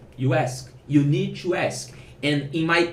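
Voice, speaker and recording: A man at a very slow pace, with a fairly high pitch and audible room echo. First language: Portuguese. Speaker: programmer and online course founder. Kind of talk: casual advice vlog. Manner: halting, with self-corrections.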